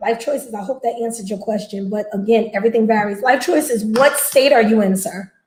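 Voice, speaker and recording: A woman speaks in a New Jersey accent with an animated tone. Her pitch varies in an ordinary way. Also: hardly any pauses. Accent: New Jersey American. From New Jersey, US. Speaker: box truck business owner, live streamer. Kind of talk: casual live stream chat with viewers. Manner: fast.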